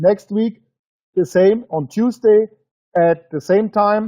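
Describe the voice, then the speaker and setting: A man speaks in a high voice with a German accent. His pitch varies in an ordinary way. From Germany. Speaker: business presenter. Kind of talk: webinar sales presentation. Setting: webinar broadcast. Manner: halting; emotional.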